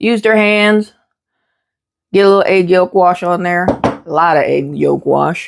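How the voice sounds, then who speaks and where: Speaking at a fairly slow pace with ordinary pitch variation, a woman talks with a slight Southern US accent. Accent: slight Southern twang. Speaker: homesteader and cooking vlogger. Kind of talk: cooking tutorial. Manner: casual, folksy.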